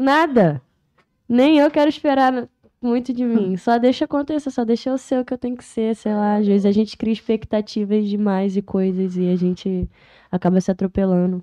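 A woman with a dark, mellow tone and a fairly high pitch is recorded dry and close with no echo against a quiet background. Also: lively intonation, moderate pace. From Niterói / São Gonçalo, Rio de Janeiro state, Brazil. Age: 20s. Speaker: rapper. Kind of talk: casual chat.

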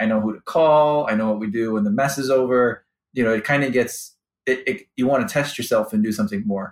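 A man speaks fairly quickly in a Chicago accent, his medium-pitched voice full of lively intonation. The recording is very clean, with a silent background. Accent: Chicago-area American. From US Midwest, Chicago suburbs. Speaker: finance executive. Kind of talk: interview. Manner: hesitant, many fillers and repeats.

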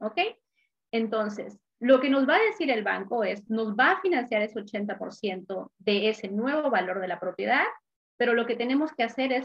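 A woman has an unremarkable speaking voice with a fairly high pitch. She speaks at a fairly slow pace. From Peru. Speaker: investment specialist, former banker. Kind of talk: interview explanation.

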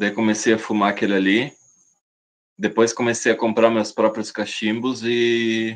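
A man talks at medium pitch and a fairly slow pace. His intonation is monotone and flat. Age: 30s. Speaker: snuff maker and seller. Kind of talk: casual interview.

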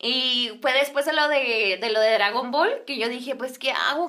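A woman's raised, projected voice, bright and sharp in tone, with lively intonation and a fairly slow pace. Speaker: singer and influencer. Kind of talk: casual chat.

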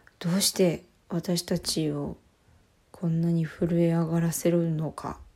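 A woman's dark, mellow, somewhat breathy voice, fairly slow and monotone with flat intonation, on a very clean recording with a silent background. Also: fairly low pitch for a woman. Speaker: podcast co-host. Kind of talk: casual solo talk. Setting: recording in a washroom at home. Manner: soft, listless, not crisp. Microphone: echoey room sound.

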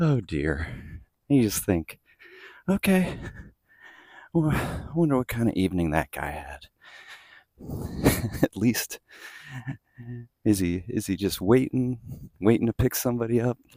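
A quiet man speaks at a fairly slow pace with long, frequent pauses, his medium pitch swinging very widely. The tone is dark and mellow, and the sound is dry and close with no echo. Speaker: podcast host. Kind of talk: casual vlog monologue while walking. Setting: outdoors, walking the dog early morning. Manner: quiet, kept voice down.

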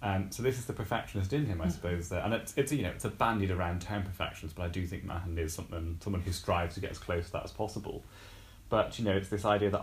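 A man's very deep, low voice, somewhat breathy, with ordinary pitch variation and a very fast pace. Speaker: poetry scholar. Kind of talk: casual chat.

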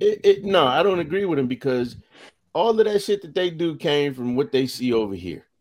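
This is a man speaking. His intonation is lively. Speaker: podcast host. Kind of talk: casual banter podcast chat. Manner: animated, profane.

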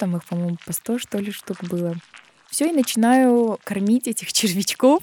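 Recorded with a dry, close sound and no echo, a woman talks at a fairly slow pace with lively intonation. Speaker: journalist and artist. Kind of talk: interview storytelling. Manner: animated.

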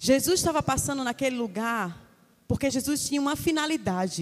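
With an ordinary speaking voice, a woman talks at a fairly quick pace using lively intonation. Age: 30s. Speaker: preacher. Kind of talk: sermon. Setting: church.

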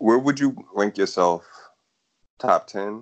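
In a dry, close sound with no echo, a man with an American accent speaks with ordinary pitch variation. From US South. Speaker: podcast interviewer. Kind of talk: casual interview.

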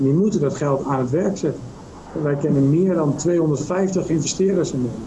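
This man's voice is fairly high, with ordinary pitch variation, a moderate pace and very even loudness. The room echo is audible and the background noise is noticeable. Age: 40s. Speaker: M&A advisor. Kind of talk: interview.

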